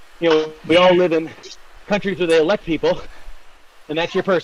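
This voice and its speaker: A man speaks in a high pitch, with long, frequent pauses. Noticeable background noise sits behind him. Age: 60s. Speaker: amateur cyclist. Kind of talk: casual chat.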